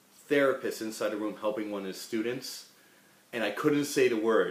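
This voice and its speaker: A man talks at a moderate pace with ordinary pitch variation. Room echo is audible. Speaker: rabbi teaching a class. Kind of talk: lecture. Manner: casual, joking.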